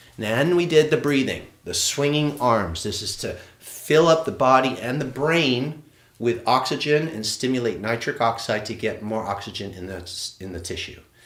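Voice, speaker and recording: Amid audible room echo, a man with a medium pitch speaks in an animated tone with lively intonation. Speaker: qigong instructor. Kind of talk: live online movement class. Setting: livestream. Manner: fast.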